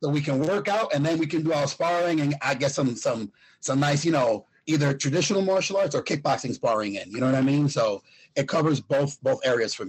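A somewhat breathy man's voice, fairly high in pitch, at a fairly quick pace. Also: ordinary pitch variation. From Puerto Rico. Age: 40s. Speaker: fitness coach and former kickboxing champion. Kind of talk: casual interview.

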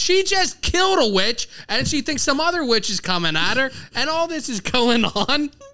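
Over noticeable background noise, a man raises and projects his voice at an extremely high pitch. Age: 30s. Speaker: comedy podcast host. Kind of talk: casual chat. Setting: live venue stage.

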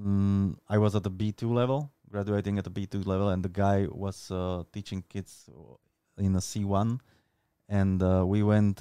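Dry and close with no echo, a man's dark, mellow voice in a Slovak accent speaks at a fairly slow pace in a fairly low pitch with monotone, flat intonation. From Slovakia. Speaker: content creator and street workout athlete. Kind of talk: casual interview. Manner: halting, with many fillers.

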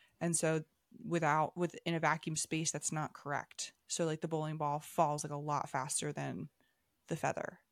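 A woman's very deep, low voice in a flat monotone, on a very clean recording with a silent background. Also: moderate pace. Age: 20s. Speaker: podcast co-host. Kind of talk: casual chat.

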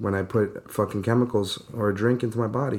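Speaking at a moderate pace, a man with a New York accent has a fairly low pitch. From Brooklyn, then Long Island from age 10. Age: 30s. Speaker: construction worker in recovery, podcast co-host. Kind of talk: casual chat. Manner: animated, rambling.

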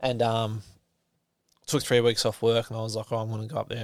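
At a fairly quick pace, a man with an Australian accent speaks at medium pitch. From Australia, New South Wales. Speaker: stuntman. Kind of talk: casual interview chat.

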